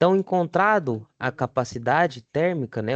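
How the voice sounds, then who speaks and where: A man with an ordinary speaking voice, ordinary pitch variation and a moderate pace, in a dry, close sound with no echo over a quiet background. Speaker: vocational course teacher. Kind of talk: online lecture.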